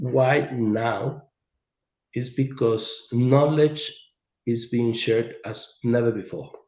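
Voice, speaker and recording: At a very slow pace, a man speaks in a medium pitch with a somewhat breathy voice. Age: 60s. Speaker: engineer and author. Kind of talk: presentation in podcast interview.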